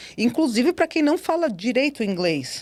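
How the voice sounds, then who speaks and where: A very clean recording with a silent background of a woman speaking at a moderate pace. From Brazil. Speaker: cybersecurity specialist and professor. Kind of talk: podcast interview. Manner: animated.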